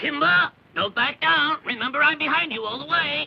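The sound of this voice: The speaker puts on a cartoonish character voice pitched high. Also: moderate pace.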